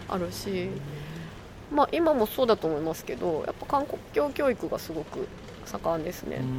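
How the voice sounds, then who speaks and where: A woman's moderately paced speech is heard with noticeable background noise. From Japan, Shiga Prefecture. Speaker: podcast co-host. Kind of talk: casual chat. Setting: outdoors.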